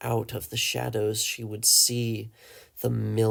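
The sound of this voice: Reading in an unforced reading voice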